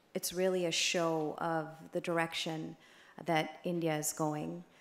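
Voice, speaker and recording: In an American accent, a woman speaks fairly slowly at a fairly low pitch, flat and monotone, with audible room echo. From United States. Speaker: advocacy group director, conference speaker. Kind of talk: conference speech. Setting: conference stage with audience.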